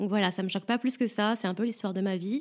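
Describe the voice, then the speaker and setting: The voice moves through ordinary pitch variation on a very clean recording with a silent background. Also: woman. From France. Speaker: podcaster and stripper. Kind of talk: first-person narration.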